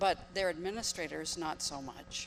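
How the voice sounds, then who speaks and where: This woman has an unremarkable speaking voice. It sits fairly low and moves with ordinary pitch variation. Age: 60s. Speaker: audience member, attorney. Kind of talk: audience comment at Q&A.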